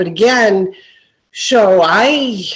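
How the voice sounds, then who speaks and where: A woman speaks with lively intonation. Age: 60s. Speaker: new real estate investor, cleaning business owner. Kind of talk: casual chat. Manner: halting.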